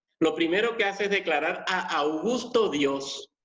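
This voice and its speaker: A man's ordinary pitch variation comes through with audible room echo around it. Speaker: pastor. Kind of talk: sermon.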